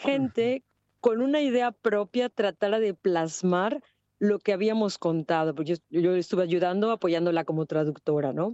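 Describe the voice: A woman at a moderate pace, with a dark, mellow tone, ordinary pitch variation and a dry, close sound with no echo. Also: fairly low pitch for a woman.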